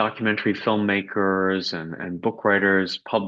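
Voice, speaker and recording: A man with a Canadian accent, fairly low pitch, fairly even intonation and a fairly slow pace, against a quiet background. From Quebec, Canada (anglophone). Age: 60s. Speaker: journalist and author. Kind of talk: interview. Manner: hesitant, with fillers and repeats.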